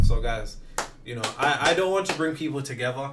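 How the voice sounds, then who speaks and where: A man at a fairly quick pace, with music in the background and audible room echo. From West Midlands, Wolverhampton. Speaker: manifestation content creator. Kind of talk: livestream Q&A. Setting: livestream. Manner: fast.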